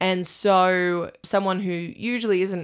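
In a very clean recording with a silent background, a woman with an Australian accent speaks at a fairly low pitch with fairly even intonation. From Australia, Armidale NSW. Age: 20s. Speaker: stage manager. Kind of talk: casual chat.

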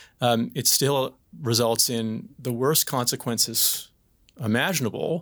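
Recorded very cleanly against a silent background, a man with an unremarkable speaking voice talks at a fairly slow pace and medium pitch with ordinary pitch variation. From Atlantic Canada (PEI and Newfoundland). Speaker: crown prosecutor. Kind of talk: panel discussion.

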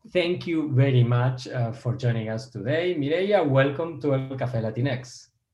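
At a moderate pace with hardly any pauses, a man speaks in a dark, mellow, somewhat breathy voice at medium pitch with ordinary variation. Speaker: podcast host and professor. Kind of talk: interview.

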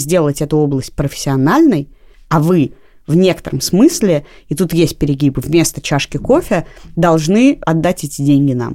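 A woman speaks with a very deep, low pitch and a dark, mellow tone. Her pitch varies in an ordinary way. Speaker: podcast co-host. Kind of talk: casual conversational discussion.

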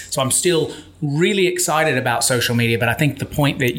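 A man with an American accent speaks in an animated, enthusiastic tone. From Memphis, Tennessee, US South. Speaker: author and keynote speaker. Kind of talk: casual interview chat.

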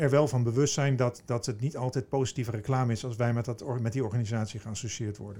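This man talks at a very fast pace with hardly any pauses, his dark, mellow tone somewhat breathy and his intonation fairly even. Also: medium pitch for a man. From eastern Netherlands (Veluwezoom, Gelderland). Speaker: business executive, managing director of a recruitment firm. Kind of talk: interview. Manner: halting, frequent repetitions.

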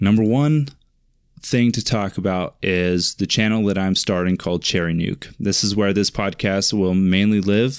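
With a Pacific Northwest accent, a man speaks at a fairly low pitch. His pace is fairly quick and the background quiet. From eastern Washington State, US. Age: 20s. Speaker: podcast host, web developer. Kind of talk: solo monologue podcast. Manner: casual, rambling with frequent fillers.

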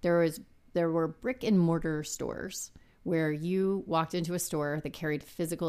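In a very clean recording with a silent background, a woman talks in a very deep, low voice with fairly even intonation. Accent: American. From South Texas, San Antonio. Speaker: business executive. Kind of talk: interview.

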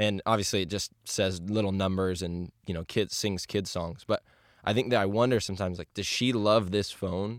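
Recorded dry and close with no echo, a man with a normal speaking voice talks at a moderate pace, his pitch fairly low and his intonation fairly even. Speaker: youth pastor. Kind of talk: casual chat. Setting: studio.

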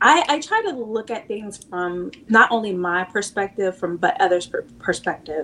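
With an American accent, a woman speaks at a moderate pace, her pitch medium. Her tone is bright and sharp, and her intonation lively. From US Pacific Northwest (Seattle, Washington). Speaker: channel partner manager and nonprofit founder. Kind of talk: casual interview chat.

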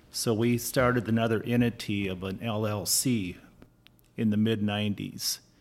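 A man with an American accent, fairly low in pitch, in a monotone, flat intonation. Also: moderate pace. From US Midwest (Minnesota). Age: 60s. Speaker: farmer. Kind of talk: casual chat.

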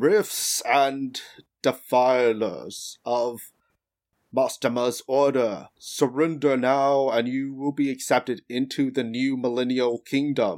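A man in a booming, put-on character voice speaks at a medium pitch and fairly slow pace with fairly even intonation, on a very clean recording with a silent background. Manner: booming, commanding.

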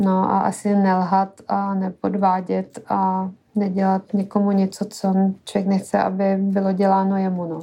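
Her tone is dark and mellow, with flat, monotone intonation. The woman speaks at a very slow pace. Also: medium pitch for a woman. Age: 30s. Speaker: podcast co-host. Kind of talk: casual chat.

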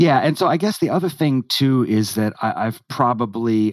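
In a normal speaking voice with an American accent, the speaker talks at a moderate pace with ordinary pitch variation, the sound dry and close with no echo against a quiet background. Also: man. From United States. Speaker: guest, friend of the host. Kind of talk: casual discussion.

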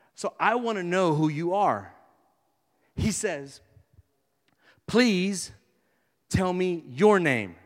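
A man with an American accent speaks at a very slow pace and a high pitch, with ordinary pitch variation and long, frequent pauses. There is audible room echo. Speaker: pastor. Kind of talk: sermon. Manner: animated.

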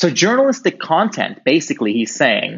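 A man with an American accent speaks with vocal fry and very wide pitch swings. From Europe. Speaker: privacy activist and guest. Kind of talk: casual interview. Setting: video call.

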